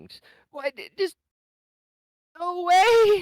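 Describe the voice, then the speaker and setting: A put-on character voice, extremely high in pitch, shaky and with a tearful tone. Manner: tearful, shaky, broken by sobs.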